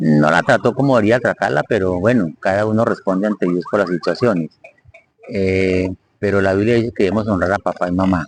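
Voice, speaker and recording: A man with an unremarkable speaking voice talks at a fairly quick pace in a fairly low pitch, his loudness very even and his pitch variation ordinary, recorded dry and close with no echo. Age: 60s. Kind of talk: live-stream talk on psychology and faith.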